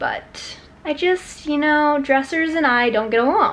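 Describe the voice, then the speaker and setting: With lively intonation and a high pitch, a woman speaks at a fairly slow pace. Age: 20s. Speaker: lifestyle vlogger. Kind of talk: casual vlog narration. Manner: animated. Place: home room. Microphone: phone near.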